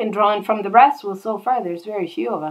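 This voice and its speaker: With ordinary pitch variation, this is a normal speaking voice. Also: woman. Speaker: bible teacher. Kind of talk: bible study.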